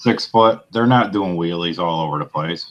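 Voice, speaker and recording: Pitch variation is ordinary in this man's speech. He keeps to a fairly slow pace. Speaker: motorcycle vlogger. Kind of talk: casual chat.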